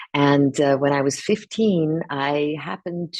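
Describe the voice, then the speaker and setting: A woman with a very deep, low pitch and vocal fry speaks at a fairly slow pace. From Los Angeles area, US, moved from Iran at ten. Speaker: actress. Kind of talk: interview. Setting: press junket.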